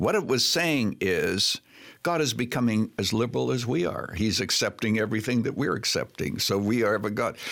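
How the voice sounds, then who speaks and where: A man with vocal fry talks at a medium pitch and a fairly quick pace, his intonation lively and his loudness very even. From Canada. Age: 80s+. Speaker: pastor emeritus and author. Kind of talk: interview.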